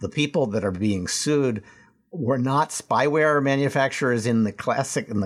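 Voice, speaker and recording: This man has a plain, everyday voice at a medium pitch, with ordinary pitch variation and very even loudness. He talks at a moderate pace on a very clean recording with a silent background. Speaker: podcast host. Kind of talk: casual panel discussion.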